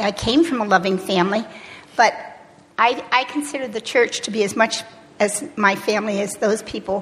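With noticeable background noise, a woman speaks at a moderate pace in a fairly high pitch with ordinary pitch variation. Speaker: church member, alumna. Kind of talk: testimony.

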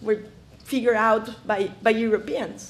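A woman's fairly slow speech with a Spanish accent. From Ecuador, highlands. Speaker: conservationist. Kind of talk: lecture. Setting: stage with audience.

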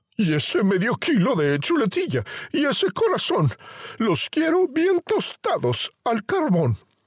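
A put-on character voice moves at a fairly slow pace with very wide pitch swings. The loudness stays very even, and the sound is dry and close with no echo. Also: man, extremely high pitch for a man. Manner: furious, menacing.

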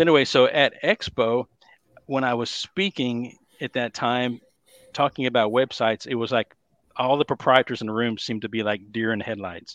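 A man with a Texas accent speaks at a medium pitch and a moderate pace, with ordinary pitch variation. The sound is dry and close with no echo. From Dallas, Texas. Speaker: bowling industry consultant. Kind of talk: casual interview chat.

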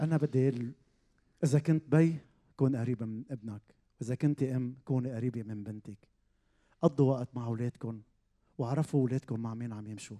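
Speaking with a Lebanese accent, a man with a dark, mellow, medium-pitched tone moves at a moderate pace, his fairly even intonation broken by long, frequent pauses and big swings in loudness, all in a dry, close sound with no echo. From Lebanon, Zahle. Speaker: pastor. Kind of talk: testimony. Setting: stage with audience.

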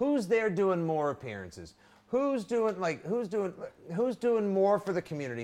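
The tone is animated. Intonation stays lively throughout. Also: man. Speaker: podcast host. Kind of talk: casual sports chat. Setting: live stream. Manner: animated, jokey.

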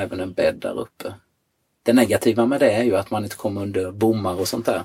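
This is a man with a fairly low pitch. His voice is somewhat breathy. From Sweden, Jönköping. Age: 50s. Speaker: surfer. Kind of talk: casual interview. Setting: in a van.

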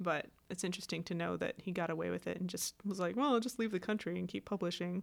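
Very fast female speech at a medium pitch with vocal fry and ordinary pitch variation, in a very clean recording with a silent background. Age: 30s. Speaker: science podcast co-host. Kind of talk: casual chat.

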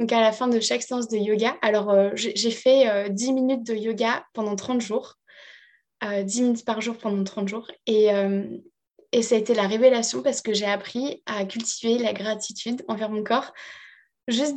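Long pauses come often. The pace is fairly slow and the intonation fairly even. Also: woman. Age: 30s. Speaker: life coach. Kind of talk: interview testimony.

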